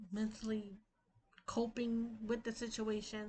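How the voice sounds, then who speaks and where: A woman at a fairly high pitch and a fairly slow pace, with monotone, flat intonation. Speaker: vlogger. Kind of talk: personal vlog update. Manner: usually loud and rowdy, calmer today.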